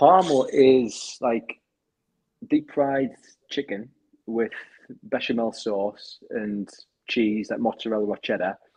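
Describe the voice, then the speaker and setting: With a northeastern English accent, a man talks at a medium pitch with ordinary pitch variation. He goes very slowly, with long, frequent pauses. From northeast England, Sunderland. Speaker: crypto project community leader. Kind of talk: casual chat.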